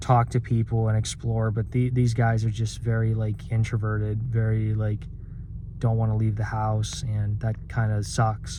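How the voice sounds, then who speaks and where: A somewhat breathy male voice at medium pitch and moderate pace. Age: 20s. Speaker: vlogger. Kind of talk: personal vent monologue. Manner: halting, many fillers and repeats.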